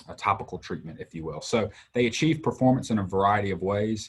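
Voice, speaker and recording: Here is a man with a Southern US accent and a fairly low pitch. His voice is somewhat breathy, with ordinary pitch variation. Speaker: textile industry sales trainer. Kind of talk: livestream interview.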